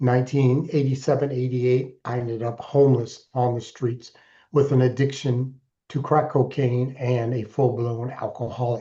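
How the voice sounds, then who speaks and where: A man with an American accent speaks in a dark, mellow, somewhat breathy tone and a flat monotone against a quiet background. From Alaska, US. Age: 60s. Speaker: keynote speaker and author in recovery. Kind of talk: interview testimony.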